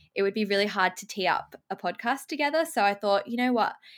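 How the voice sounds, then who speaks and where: A woman with an Australian accent speaks at a very fast pace in a bright, sharp tone, at medium pitch with ordinary pitch variation. The recording is very clean, with a silent background. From Australia, Sydney. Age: 20s. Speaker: YouTuber and podcast host. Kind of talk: casual interview chat.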